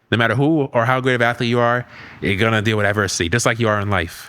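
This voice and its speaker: Very fast in pace, a man speaks with a fairly low pitch and a bright, sharp tone. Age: 20s. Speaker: sports podcast host. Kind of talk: casual interview.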